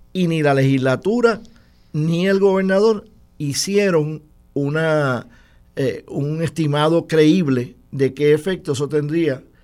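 Music plays in the background as a man speaks at a very slow pace. His pitch variation is ordinary. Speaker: political commentator. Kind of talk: political analysis discussion.

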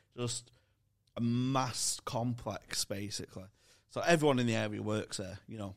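A man speaks at a medium pitch in a Manchester accent. His intonation is fairly even, and the recording is very clean with a silent background. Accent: Mancunian-sounding northern English. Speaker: comedian and podcast co-host. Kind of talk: casual chat.

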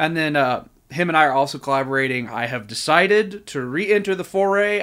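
A man with an ordinary speaking voice talks at a fairly quick pace, pitched fairly high with lively intonation. The recording is very clean over a silent background. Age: 30s. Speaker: musician. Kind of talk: casual chat.

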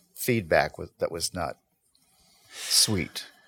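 A man is heard with a dry, close sound and no echo. The recording is very clean, with a silent background. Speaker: guest, community conversation program host. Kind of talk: casual conversational discussion.

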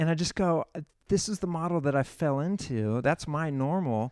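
Recorded very cleanly against a silent background, dry and close with no echo, a man with an American accent talks at a moderate pace in a fairly high pitch with ordinary variation. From California Central Coast (San Luis Obispo area). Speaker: pastor. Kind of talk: casual interview. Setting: church lounge room.

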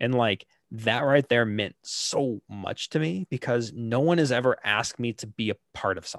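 A man with an ordinary speaking voice, medium pitch and ordinary pitch variation, at a moderate pace with hardly any pauses, in a dry, close sound with no echo. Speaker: guest, gaming YouTuber and stream moderator.

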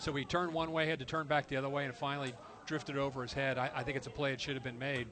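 A man talks at a very fast pace in a fairly high pitch. His intonation is fairly even, with noticeable background noise. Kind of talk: colour commentary, casual analysis alongside the play-by-play. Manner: relaxed, conversational, chatty and knowledgeable.

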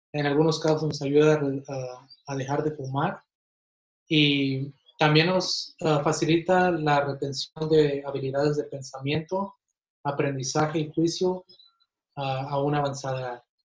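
Somewhat breathy and fairly high in pitch, a man speaks at a fairly slow pace in a flat monotone, leaving long, frequent pauses. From Mexico, Ciudad Juárez, Chihuahua, then Kansas City from age ten. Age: 20s. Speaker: physiotherapist. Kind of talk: interview. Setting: at home, remote.

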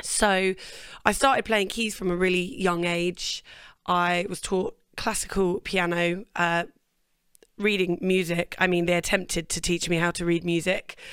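A woman with a British accent speaks at a medium pitch. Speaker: singer-songwriter. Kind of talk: casual interview chat. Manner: chatty, laughs.

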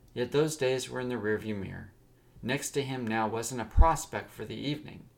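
A man's medium-pitched voice with ordinary pitch variation at a moderate pace, an ordinary speaking voice. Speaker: podcast host and storyteller. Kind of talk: dramatic narration of a serialized story, storyteller voice. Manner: warm, direct address to listeners.

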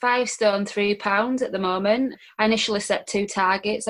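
A woman of medium pitch speaks with a Yorkshire accent. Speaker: guest sharing weight loss story. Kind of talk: personal storytelling in interview.

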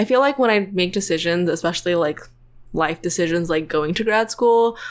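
A woman with an unremarkable speaking voice, fairly low in pitch and ordinary in pitch variation, recorded very cleanly against a silent background. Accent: American. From US South, Tennessee. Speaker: PhD student in computational chemistry. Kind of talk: podcast interview.

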